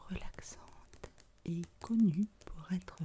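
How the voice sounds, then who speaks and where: A woman is speaking. Her pace is very slow. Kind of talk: ASMR video talk to camera. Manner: soft-spoken, whispered.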